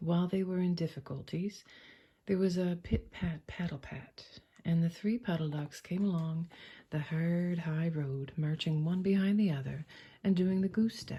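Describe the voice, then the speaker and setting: At a fairly slow pace, the speaker talks in a soft-spoken, calm tone. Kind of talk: soft-spoken bedtime story reading. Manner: soft-spoken, calm, slow.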